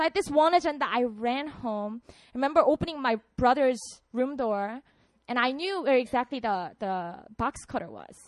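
In a quiet setting, a woman with a Korean accent talks at a moderate pace in a high voice, her tone animated and her intonation lively. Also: big swings in loudness. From South Korea, Busan. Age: 30s. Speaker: pastor. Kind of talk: sermon. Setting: stage with audience.

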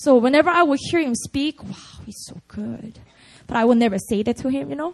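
A woman's high voice with a Korean accent, lively intonation and a fairly quick pace. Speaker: pastor. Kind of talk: sermon. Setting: church. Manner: animated.

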